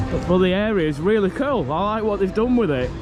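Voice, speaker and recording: Music plays in the background as a man with a Lancashire accent talks. His pace is fairly quick, with ordinary pitch variation. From northern England, Morecambe, Lancashire. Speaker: theme park vlogger. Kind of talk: casual vlog commentary. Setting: outdoors at a theme park. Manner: animated.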